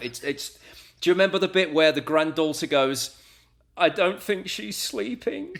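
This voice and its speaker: Speaking with an American accent, a man uses a fairly high pitch. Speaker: radio presenter. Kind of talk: casual interview chat.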